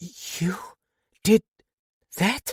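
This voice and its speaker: Sitting at a middle pitch, this voice is a put-on character voice. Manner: incredulous.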